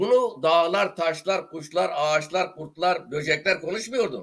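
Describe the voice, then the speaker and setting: The speaker has an Eastern Anatolian accent and lively intonation. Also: man. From Turkey, Dersim (Tunceli). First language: Zazaki (speaking Turkish). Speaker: writer and journalist, retired teacher. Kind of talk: interview. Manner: animated.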